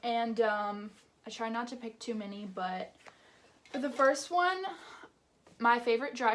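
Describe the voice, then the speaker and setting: Noticeable background noise sits behind a woman speaking at a fairly slow pace, her pitch fairly high with ordinary variation. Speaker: beauty YouTuber. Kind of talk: product review vlog.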